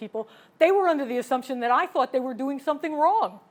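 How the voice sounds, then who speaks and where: A woman's high-pitched, very fast voice with lively intonation and an American accent. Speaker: keynote speaker, former chemist and operations manager. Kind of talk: keynote talk.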